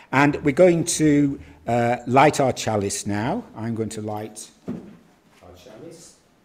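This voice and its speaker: Loudness rises and falls in big swings. The man talks very slowly. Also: medium pitch for a man. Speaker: Unitarian summer school talk leader. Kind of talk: theme talk with chalice lighting. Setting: live gathering streamed on Zoom. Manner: loud, projecting; hesitant fillers.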